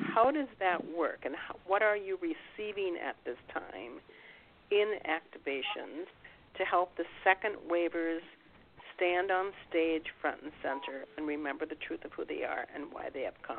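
An unremarkable speaking voice with lively intonation. The pace is fairly slow. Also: woman, fairly low pitch for a woman. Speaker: radio host. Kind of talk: radio interview. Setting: internet radio show.

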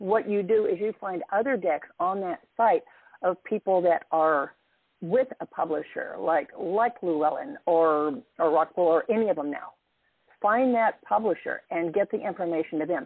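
This woman has a plain, everyday voice, medium in pitch, with lively intonation and a moderate pace. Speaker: caller. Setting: phone call.

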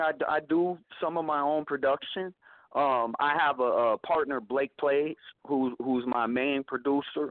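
This man has a normal speaking voice with an American accent, fairly high pitch and ordinary pitch variation. He talks at a moderate pace with very even loudness. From US Midwest, Kansas. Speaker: rapper. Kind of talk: interview.

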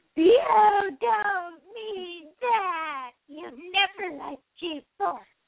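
A female-sounding put-on character voice at an extremely high pitch and very slow pace. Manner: dramatic, theatrical.

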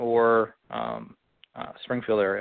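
This is a man speaking. His pitch sits at a medium level. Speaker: golf teaching professional. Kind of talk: casual interview conversation.

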